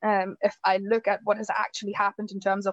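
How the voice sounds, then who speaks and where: Against a quiet background, a woman with a German accent speaks at a moderate pace and medium pitch in a monotone, flat intonation, the sound dry and close with no echo. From Germany. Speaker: campaigner. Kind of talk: panel discussion.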